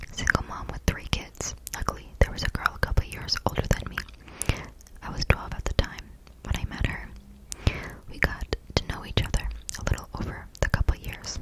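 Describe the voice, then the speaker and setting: Whispering at a fairly quick pace, the speaker is heard over noticeable background noise. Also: woman. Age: 20s. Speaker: ASMR creator. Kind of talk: story reading. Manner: whispered.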